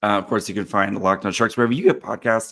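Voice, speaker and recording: A man puts on a character voice, raspy and hoarse, at a fairly low pitch with fairly even intonation. He races along at a very fast pace against a quiet background. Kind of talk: podcast sign-off.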